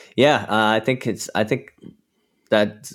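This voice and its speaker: Recorded very cleanly over a silent background, a man with an American accent and a plain, everyday voice talks at a moderate pace, fairly low in pitch, with ordinary pitch variation. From US South, Georgia. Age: 30s. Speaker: metal guitarist. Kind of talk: casual chat.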